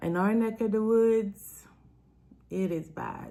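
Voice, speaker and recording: A woman speaks with a warm tone that is also dark and mellow. Her intonation is fairly even and her pace fairly slow. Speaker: author and self-development coach. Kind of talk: live-stream chat with book reading. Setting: live stream. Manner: casual, warm.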